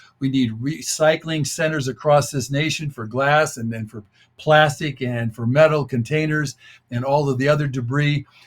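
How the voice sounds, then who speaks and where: A man's fairly high, somewhat breathy voice, with fairly even intonation at a moderate pace. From United States. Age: 70s. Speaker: author and population speaker. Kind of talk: interview talk. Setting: radio show.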